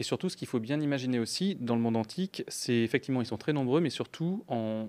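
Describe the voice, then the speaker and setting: This man has an ordinary speaking voice at a medium pitch. He talks at a fairly quick pace with ordinary pitch variation. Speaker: project team member asking questions. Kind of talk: Q&A discussion. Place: hall.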